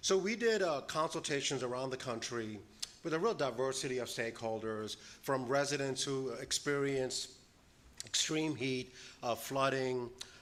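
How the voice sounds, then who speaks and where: The room echo is audible. A man speaks at a medium pitch with ordinary pitch variation. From New York. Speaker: panel presenter on disaster resilience. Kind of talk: conference presentation. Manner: fast.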